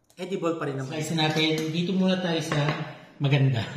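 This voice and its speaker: Against audible room echo, a man speaks at a fairly quick pace with a fairly high pitch and ordinary pitch variation. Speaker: home baking vlogger. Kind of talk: casual cooking vlog.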